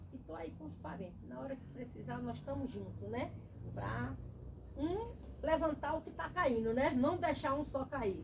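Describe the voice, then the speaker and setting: Audible room echo is present. A woman's voice shows big swings in loudness. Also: moderate pace. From Bahia, Brazil. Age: 60s. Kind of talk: testimony.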